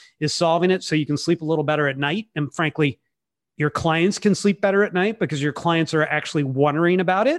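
With an American accent, a man with an ordinary speaking voice and fairly high pitch talks at a fairly quick pace with ordinary pitch variation against a quiet background. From California. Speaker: wealth management M&A consultant. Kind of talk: interview.

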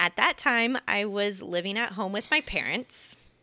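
Woman in a Midwestern US accent, bright and sharp in tone, ordinary pitch variation, dry, close sound with no echo, very clean recording with a silent background. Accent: General American (Midwestern). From US Midwest, Kansas City. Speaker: personal finance educator and YouTuber. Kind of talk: interview.

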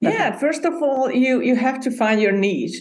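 With a Hungarian accent, a woman talks using ordinary pitch variation. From Hungary. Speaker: podcast booking entrepreneur. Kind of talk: interview.

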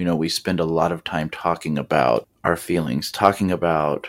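A man speaks at a very deep, low pitch with vocal fry. The recording is very clean, with a silent background. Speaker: kindergarten teacher and podcast host. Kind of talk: solo podcast monologue. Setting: recording alone. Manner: casual, conversational.

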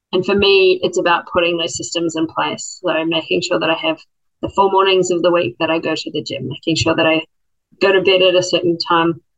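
A woman with a New Zealand accent speaks with fairly even intonation. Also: fairly low pitch for a woman, fairly quick pace. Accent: New Zealand accent noticeable. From New Zealand, Christchurch. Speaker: public servant, former lawyer. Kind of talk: casual chat.

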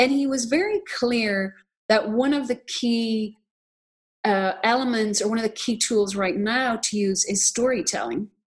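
Speaking with an American accent, a woman uses a fairly high pitch and ordinary pitch variation. Her voice is somewhat breathy, at a moderate pace. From Ireland. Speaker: documentary filmmaker and nonprofit co-founder. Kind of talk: interview conversation.

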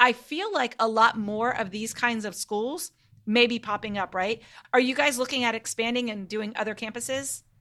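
Bright and sharp in tone, a woman with fairly high pitch speaks in an animated way at a moderate pace on a very clean recording with a silent background. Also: ordinary pitch variation. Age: 40s. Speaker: podcast host, homeschool mom. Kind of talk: interview.

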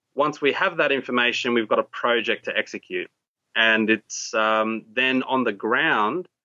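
With an Australian accent, a man speaks at a fairly slow pace. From Australia, raised from age six; early years in Borneo. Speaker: tech entrepreneur. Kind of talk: interview conversation.

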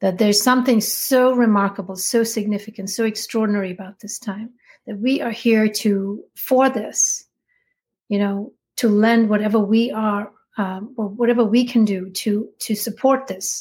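Fairly high-pitched and somewhat breathy, a woman speaks with fairly even intonation on a very clean recording with a silent background. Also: moderate pace. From India. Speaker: spiritual teacher. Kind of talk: interview.

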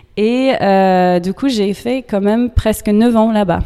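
A woman with an American accent at a very slow pace, with ordinary pitch variation. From US, New York. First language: English (speaking French). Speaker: yoga teacher. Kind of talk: interview. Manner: halting.

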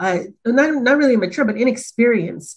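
The voice is somewhat breathy. It carries an American accent. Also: woman. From Los Angeles, California. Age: 30s. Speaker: corporate learning and development director. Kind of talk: casual interview.

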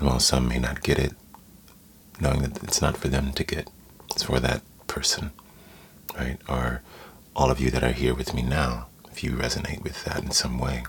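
Amid noticeable background noise, a man with a very deep, low pitch talks at a moderate pace in a flat monotone, leaving long, frequent pauses. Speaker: meditation teacher. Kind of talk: guided meditation. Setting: live stream recorded, Instagram.

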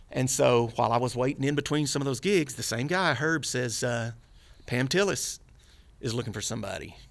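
A man's medium-pitched voice with a Texan accent, vocal fry and very wide pitch swings. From Texas, Dallas. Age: 50s. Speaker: bass player. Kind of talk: casual chat.

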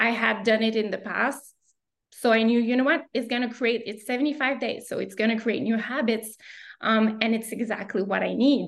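Against a quiet background, a woman with an ordinary speaking voice talks at a fairly high pitch and moderate pace with fairly even intonation. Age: 30s. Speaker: career counselor and entrepreneur. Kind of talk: casual interview.

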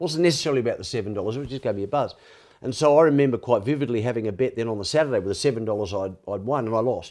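With an Australian accent, a man talks at a very fast pace over a quiet background. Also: medium pitch for a man, ordinary pitch variation. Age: 60s. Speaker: former sports reporter and media figure in addiction recovery. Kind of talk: interview conversation with personal testimony. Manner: chatty, storytelling.

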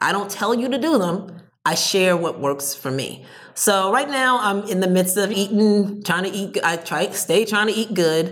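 A woman with a plain, everyday voice and an American accent, at a moderate pace and medium pitch, with lively intonation. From New Jersey. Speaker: entrepreneur. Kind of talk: interview.

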